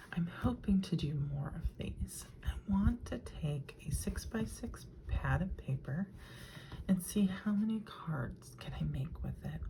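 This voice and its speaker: The voice is soft-spoken and moves at a fairly slow pace. Background noise is noticeable. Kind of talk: crafting tutorial talk to camera.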